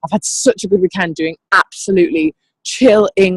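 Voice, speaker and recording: Speaking at a moderate pace in an English accent, the voice carries an animated tone. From England. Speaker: network marketing team leader. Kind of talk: motivational pep talk on a training call. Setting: group training call.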